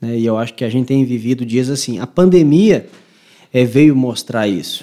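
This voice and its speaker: This man talks at a moderate pace in a medium pitch with a dark, mellow tone and ordinary pitch variation. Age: 20s. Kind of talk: casual chat.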